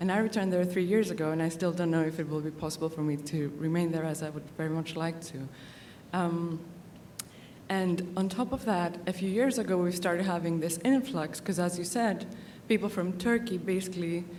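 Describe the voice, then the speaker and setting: Audible room echo surrounds a woman who talks at a fairly quick pace and fairly low pitch, with ordinary pitch variation. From Greece. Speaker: conference audience member. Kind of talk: audience question at conference. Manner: hesitant, many fillers.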